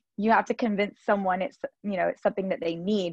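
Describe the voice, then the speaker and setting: An unremarkable speaking voice from a woman with an American accent, medium in pitch with ordinary pitch variation, recorded dry and close with no echo against a quiet background. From US South, Georgia. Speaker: Pilates studio owner and former lawyer. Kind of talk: casual interview.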